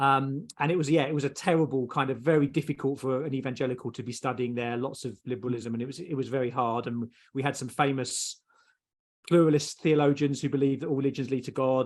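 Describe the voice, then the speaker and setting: In a southeast English accent, a man talks very fast at a medium pitch with ordinary pitch variation. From southeast England. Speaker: theologian. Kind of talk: interview. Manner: halting.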